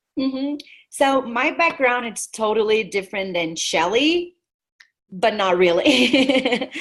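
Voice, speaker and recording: Very slowly, a woman with a Brazilian Portuguese accent speaks in a high voice with lively intonation. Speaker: network marketing team leader. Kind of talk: webinar presentation. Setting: video call.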